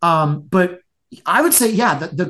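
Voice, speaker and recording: A man with an American accent talks at a moderate pace, his high voice making very wide pitch swings. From Florida (Tampa). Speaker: brewery owner. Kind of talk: casual interview. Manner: halting, many fillers and repeats.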